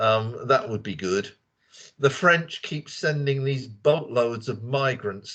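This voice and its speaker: Against a quiet background, a man talks at a fairly slow pace. He has a British accent. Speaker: English teacher. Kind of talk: casual group discussion. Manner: animated.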